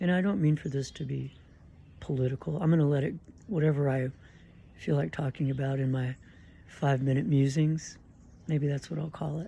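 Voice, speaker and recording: The speech moves at a fairly quick pace but has long, frequent pauses, on a very clean recording with a silent background. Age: 60s. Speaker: vlogger. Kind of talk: casual monologue vlog.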